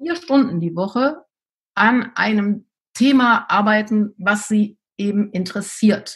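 This woman's voice sits fairly high and is somewhat breathy. She speaks at a very slow pace with ordinary pitch variation. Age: 50s. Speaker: teacher and deputy school head. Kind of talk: interview.

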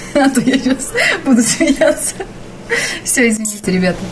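A woman with a high pitch and ordinary pitch variation talks with long, frequent pauses over light background noise. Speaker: TV news announcer. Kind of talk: casual talk between takes, behind the scenes. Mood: giggling, trying to compose herself. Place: booth. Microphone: studio mic.

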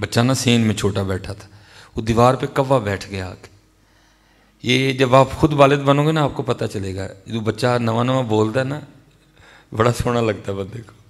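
Fairly slow delivery in a Pakistani Punjabi accent, with long, frequent pauses. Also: man, ordinary pitch variation. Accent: Pakistani Punjabi-accented Urdu. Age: 30s. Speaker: Islamic preacher. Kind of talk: sermon. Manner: emotional. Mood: emotional personal storytelling. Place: hall. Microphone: studio mic.

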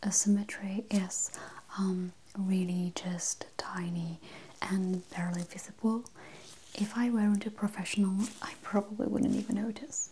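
A soft-spoken woman at a fairly slow pace, fairly even intonation and light background noise. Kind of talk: soft-spoken role-play. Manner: soft-spoken, intimate low voice. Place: home room.

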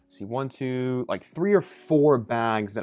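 Ordinary pitch variation from a male speaker. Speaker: bag reviewer. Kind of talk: casual product review. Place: home room.

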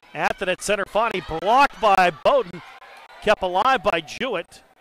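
A man's high, raised, projected voice with an animated tone and lively intonation, dry with no echo, over light background noise. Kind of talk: live sports commentary. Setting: sports match broadcast. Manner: animated, rising energy at key points. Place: hall.

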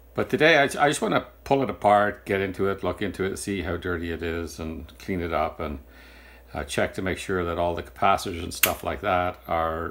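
Against light background noise, a man talks at a fairly quick pace in a very deep, low voice with ordinary pitch variation. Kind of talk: tutorial. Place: workshop.

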